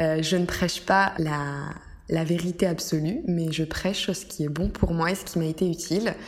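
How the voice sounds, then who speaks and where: A woman's fairly low voice at a fairly slow pace, fairly even in intonation, with noticeable background noise. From France. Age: 20s. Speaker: wellness podcaster. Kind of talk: solo podcast monologue. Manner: hesitant, many fillers.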